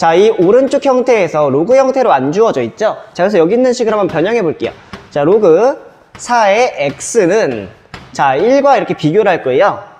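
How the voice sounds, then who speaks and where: The speech has long, frequent pauses over noticeable background noise. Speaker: math teacher. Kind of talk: lecture. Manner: fast.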